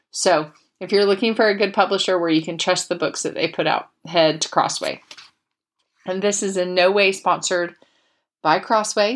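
A woman at a medium pitch talks at a moderate pace with fairly even intonation and long, frequent pauses, in a very clean recording with a silent background. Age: 40s. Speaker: podcast host. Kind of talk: casual chat with book reading. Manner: chatty, with many fillers.

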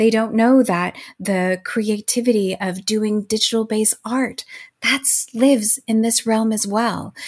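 A woman speaks at a fairly slow pace with a fairly high pitch. Her voice is somewhat breathy, with fairly even intonation. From US, Mexican-American family. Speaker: education nonprofit executive, former literature scholar. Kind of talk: interview.

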